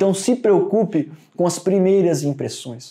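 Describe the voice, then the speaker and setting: A man's dark, mellow tone and lively intonation against a quiet background. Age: 30s. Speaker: business executive; guest. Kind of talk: online lesson. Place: meeting room.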